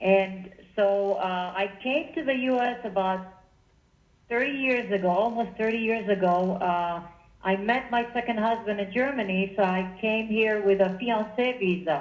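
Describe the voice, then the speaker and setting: In a New Jersey accent, a woman with a fairly high pitch talks at a moderate pace. Long, frequent pauses break up her speech, and audible room echo can be heard. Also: ordinary pitch variation. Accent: sounds like New Jersey. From Israel. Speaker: political meetup group organizer. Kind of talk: radio interview. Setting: phone call. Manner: animated.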